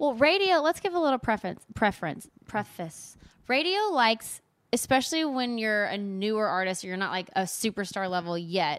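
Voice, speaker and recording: A woman with a Texas accent, animated in tone, fairly high in pitch, with very wide pitch swings. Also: moderate pace. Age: 30s. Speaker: podcast host. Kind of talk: casual interview.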